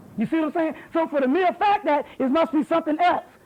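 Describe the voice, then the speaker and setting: Over noticeable background noise, a man speaks loudly at a fairly quick pace with ordinary pitch variation. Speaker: lecturer. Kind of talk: heated debate; lecture. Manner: animated.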